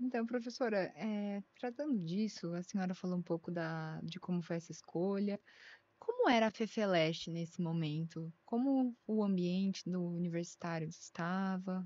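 At a moderate pace, a woman speaks in a dark, mellow tone, with a dry sound and no echo. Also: ordinary pitch variation. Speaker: podcast co-host; interviewer. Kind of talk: interview conversation. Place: studio. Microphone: studio mic.

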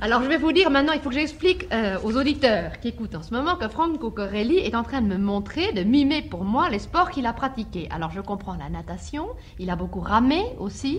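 Delivered at a moderate pace with long, frequent pauses, the voice makes very wide pitch swings over noticeable background noise. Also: woman. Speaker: radio host. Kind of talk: radio interview questions. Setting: radio studio.

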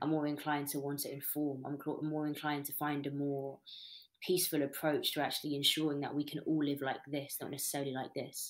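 A woman's very deep, low voice, very fast and monotone with flat intonation, over a quiet background. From Britain. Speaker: spoken word poet; interviewee. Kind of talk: interview answer. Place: home room. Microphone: webcam.

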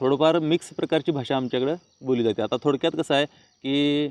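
A man speaks with a fairly high pitch. His pitch varies an ordinary amount. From Chandgad area, Kolhapur district, Maharashtra. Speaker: village vlogger and farmer. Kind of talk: casual vlog talk.

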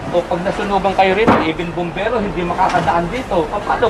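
A high-pitched man talks at a fairly quick pace. Audible room echo and noticeable background noise surround him. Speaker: city clearing operations official. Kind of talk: on-site inspection talk. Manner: animated.

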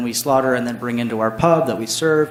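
Talking at a very fast pace, a man speaks with an American accent at a medium pitch. Room echo is audible, and background noise is noticeable. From US West Coast (Santa Maria, California). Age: 30s. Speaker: brewery owner. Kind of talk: public testimony at council meeting. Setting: city council meeting. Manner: casual, hesitant with fillers.

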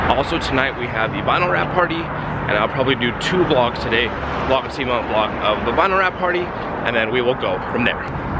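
Loud background noise fills this dry recording with no echo. A man talks at a fairly quick pace over it. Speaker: car vlogger. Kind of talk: casual vlog chat. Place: street. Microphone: phone near.

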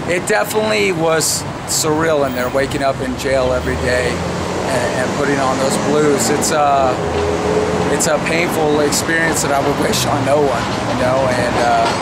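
Amid loud background noise, a man speaks at a moderate pace with ordinary pitch variation. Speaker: interviewee. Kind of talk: interview answer. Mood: reflective, earnest. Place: street. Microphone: phone near.

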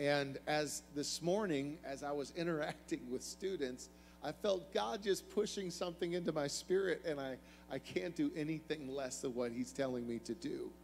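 The pace is moderate. Music plays in the background. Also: man. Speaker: guest preacher. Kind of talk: sermon. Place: church. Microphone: handheld.

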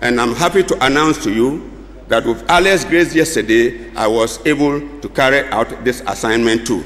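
A man talks with a Ghanaian accent at a moderate pace. His pitch varies in an ordinary way. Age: 70s. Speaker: retired civil servant; guest. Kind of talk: formal speech. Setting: stage with audience at convention. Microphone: podium.

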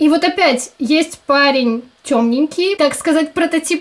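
Her high-pitched voice moves at a moderate pace with ordinary pitch variation. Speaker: video reviewer. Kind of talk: casual review commentary. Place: home room. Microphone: webcam.

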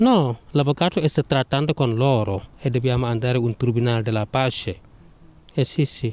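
A man speaks at a moderate pace with a non-native accent, at medium pitch and with ordinary pitch variation. The sound is dry and close with no echo, and his loudness stays very even. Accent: foreign accent, speaks Italian well. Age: 30s. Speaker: unlicensed parking attendant. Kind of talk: street interview. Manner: halting.

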